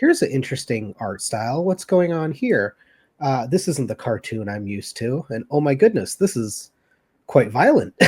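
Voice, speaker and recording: A man at medium pitch with an American accent, a dark, mellow tone, somewhat breathy, moderate pace and very wide pitch swings, on a very clean recording with a silent background and a dry, close sound with no echo. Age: 30s. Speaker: anime fan guest. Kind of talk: casual chat.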